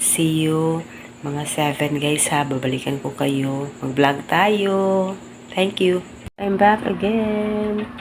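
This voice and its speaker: A quiet woman with a very deep, low pitch speaks at a very slow pace with lively intonation. Noticeable background noise and audible room echo fill the recording. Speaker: family vlogger. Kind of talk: casual vlog. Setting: at home, early morning. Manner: quiet, keeping voice low.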